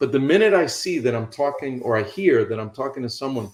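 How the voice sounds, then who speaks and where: With an American accent, a man speaks at a medium pitch. He has an ordinary speaking voice and keeps a moderate pace. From New York City. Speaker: real estate investing coach. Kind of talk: instructional talk on a call. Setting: online call.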